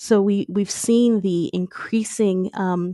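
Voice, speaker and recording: A woman with an American accent speaks at a medium pitch with fairly even intonation and a dark, mellow tone. The sound is dry and close with no echo, over a quiet background. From US Midwest (Michigan). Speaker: history professor. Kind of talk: interview. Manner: frequent filler words (um).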